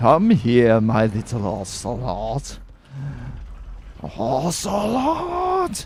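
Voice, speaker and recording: A man puts on a character voice at a medium pitch. He goes at a very slow pace over clear background noise. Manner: growling, theatrical.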